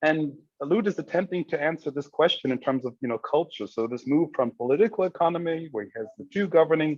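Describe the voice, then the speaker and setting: Speaking at a very fast pace, a man with a German accent uses a fairly high pitch and lively intonation. The sound is dry and close, with no echo. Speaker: academic discussant. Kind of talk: group discussion. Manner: halting, many fillers.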